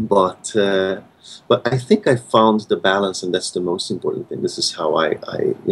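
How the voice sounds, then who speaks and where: A man with a Hungarian accent, against noticeable background noise. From Hungary, Budapest. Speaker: concert pianist. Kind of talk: interview. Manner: halting, many repetitions and fillers.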